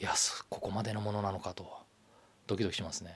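Speaking at a very fast pace, a man sounds somewhat breathy on a very clean recording with a silent background. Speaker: livestream show navigator. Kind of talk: solo livestream talk.

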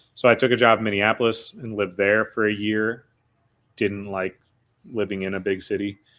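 A fairly low-pitched man with an American accent, fairly quick and monotone, flat in intonation, on a very clean recording with a silent background. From Wisconsin, Eau Claire area. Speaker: podcaster and entrepreneur. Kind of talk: casual chat.

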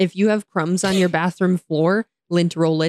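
A woman with an American accent and a fairly low pitch uses a playful tone but monotone, flat intonation at a moderate pace, with a dry, close sound and no echo. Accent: American, with local regional features. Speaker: podcast host. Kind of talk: casual chat. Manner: playful, laughs often.

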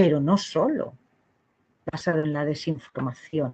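Fairly slow, ordinary pitch variation, and a very deep, low pitch from a woman. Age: 40s. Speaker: psychologist at abortion clinic. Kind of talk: interview. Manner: halting, repeats words.

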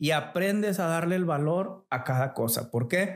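Lively intonation marks this man's high-pitched voice as he talks at a fairly slow pace. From Nuevo León, Mexico (Montemorelos). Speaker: businessman. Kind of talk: casual interview.

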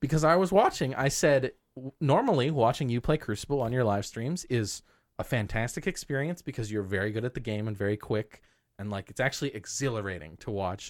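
At a fairly quick pace, a plain, everyday voice with lively intonation comes through a very clean recording with a silent background. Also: man, medium pitch for a man. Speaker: podcast host. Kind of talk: casual chat.

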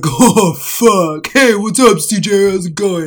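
A man puts on a character voice at a high pitch. He speaks at a fairly slow pace over light background noise. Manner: casual, greeting.

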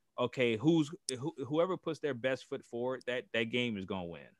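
At a moderate pace, a man speaks in an American accent. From Gary, Indiana (US Midwest). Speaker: basketball coach and showcase organizer. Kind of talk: casual chat.

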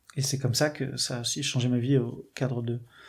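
A somewhat breathy man at a moderate pace with monotone, flat intonation. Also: very clean recording, silent background. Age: 20s. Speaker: catechumen sharing faith testimony. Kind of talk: testimony. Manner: halting, many hesitations.

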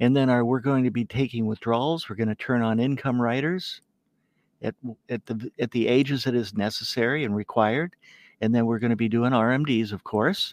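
At a fairly quick pace, a man speaks in an ordinary speaking voice at a medium pitch with fairly even intonation, the sound dry and close with no echo against a quiet background. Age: 60s. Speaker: financial planner. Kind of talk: interview walking through software reports.

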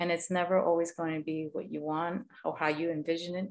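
An ordinary speaking voice from a woman, fairly low in pitch, fairly quick, with fairly even intonation. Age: 40s. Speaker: podcast host, yoga teacher. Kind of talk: casual interview chat.

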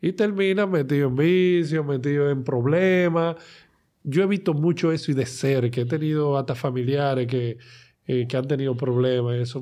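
A man with a plain, everyday voice speaks at a moderate pace with fairly high pitch, ordinary pitch variation and very even loudness. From Dominican Republic, Santo Domingo. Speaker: comedian and talent manager. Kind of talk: casual chat. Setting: studio.

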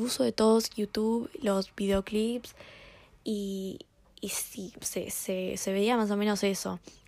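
Fairly even in intonation, a woman with a fairly high pitch speaks at a very slow pace. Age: young. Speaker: podcast host. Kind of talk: solo podcast monologue. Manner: casual, with filler repetitions.

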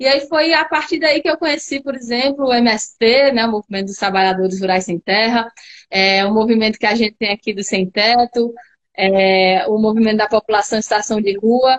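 A woman with a fairly high pitch and ordinary pitch variation speaks at a moderate pace in a plain, everyday voice. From Natal, Rio Grande do Norte, Brazil. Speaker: politician. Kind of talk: casual chat.

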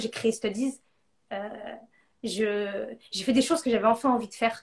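At a moderate pace, a woman speaks with long, frequent pauses and big swings in loudness. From northern France. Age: 30s. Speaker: entrepreneur. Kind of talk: interview. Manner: animated.

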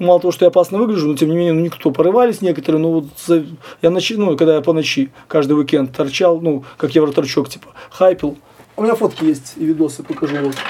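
Speaking very fast, a man with a fairly high-pitched voice shows ordinary pitch variation. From Belarus. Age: 40s. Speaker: punk musician. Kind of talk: interview.

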